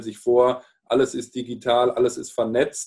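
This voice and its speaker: A man at medium pitch, talking at a fairly slow pace. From Palatinate, Germany. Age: 40s. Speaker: sales and marketing manager. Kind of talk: casual interview chat.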